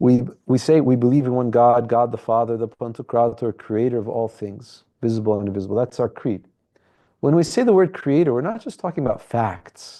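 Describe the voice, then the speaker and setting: A man's dark, mellow tone at a fairly quick pace over a quiet background. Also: medium pitch for a man, ordinary pitch variation. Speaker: priest leading a book study. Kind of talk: lecture. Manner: halting.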